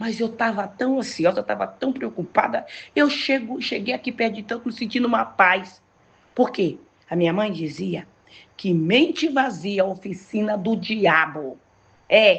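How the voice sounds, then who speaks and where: A woman speaks at a fairly slow pace in an animated tone, her fairly high pitch carrying lively intonation and some vocal fry. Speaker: pastor. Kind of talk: sermon.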